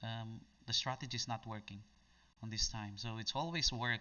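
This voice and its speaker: A man speaks with a Filipino accent. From Philippines. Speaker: day trader. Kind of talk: live trading stream. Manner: halting.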